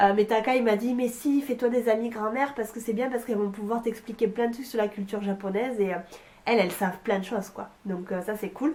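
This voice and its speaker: At a very fast pace, a woman with a fairly high pitch and fairly even intonation speaks over noticeable background noise. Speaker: vlogger and English teacher. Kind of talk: casual vlog. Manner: hesitant, many fillers.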